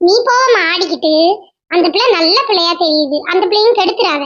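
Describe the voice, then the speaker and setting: In a squeaky, cartoonish character voice, a woman speaks fairly slowly at an extremely high pitch with lively intonation and very even loudness. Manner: sarcastic.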